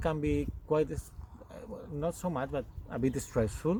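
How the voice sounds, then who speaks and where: Over noticeable background noise, a man speaks with a Spanish accent. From Spain. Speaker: goat farmer and yarn dyer. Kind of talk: casual chat. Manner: halting, many fillers.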